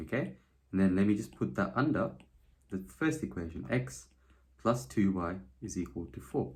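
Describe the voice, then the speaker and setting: Using vocal fry, a man with a very deep, low pitch swings very widely in pitch and leaves long, frequent pauses. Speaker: maths teacher. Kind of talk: tutorial. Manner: fast.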